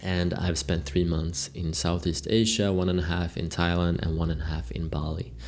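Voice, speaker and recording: A man's very deep, low voice at a moderate pace, with ordinary pitch variation and hardly any pauses, amid audible room echo and noticeable background noise. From Sweden. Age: 20s. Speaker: content creator. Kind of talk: unscripted video log monologue. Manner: casual, rambling with self-corrections.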